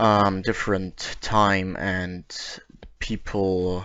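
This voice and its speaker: His pitch sits fairly low. The man speaks with a non-native accent. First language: not English. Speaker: YouTuber reading creepypasta-style documents. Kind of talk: reading aloud; casual commentary. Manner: halting.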